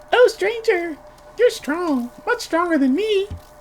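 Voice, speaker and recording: A man's put-on character voice at a moderate pace. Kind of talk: distinct from speaker's usual voice. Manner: weary, gentle, sleepy.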